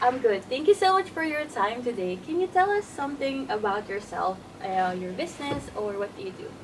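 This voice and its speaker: Against noticeable background noise, a woman talks at a fairly quick pace with hardly any pauses and a high pitch. Her pitch swings very widely, and her loudness rises and falls a lot. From Philippines. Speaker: podcast host. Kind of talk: interview.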